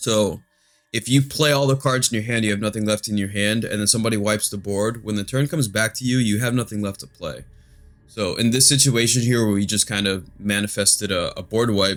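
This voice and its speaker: With music playing behind him, a man speaks fairly quickly in a fairly low voice. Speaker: magic card game youtuber. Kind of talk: gameplay commentary. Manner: monotone.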